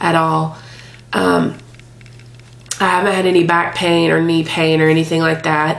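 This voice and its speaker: Against noticeable background noise, a woman talks at a moderate pace. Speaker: vlogger documenting a fitness trial. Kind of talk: casual video blog. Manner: casual, with frequent filler words.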